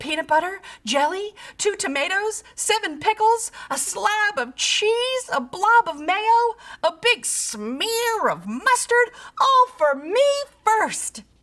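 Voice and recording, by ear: A woman puts on a character voice at an extremely high pitch with big swings, a fairly bright tone, a slow pace and few pauses.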